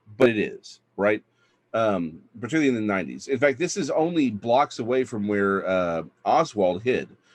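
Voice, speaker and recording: Against a quiet background, a man with a Texan accent talks with lively intonation. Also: medium pitch for a man, moderate pace. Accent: Texan American. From Texas. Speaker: author. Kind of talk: storytelling in a panel chat. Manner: halting, many fillers.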